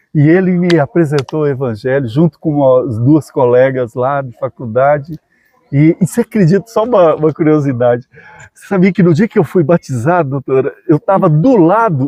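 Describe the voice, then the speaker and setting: A man speaks in a dark, mellow tone at a moderate pace. His intonation is lively. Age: 60s. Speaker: dentist and missionary. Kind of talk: casual interview chat.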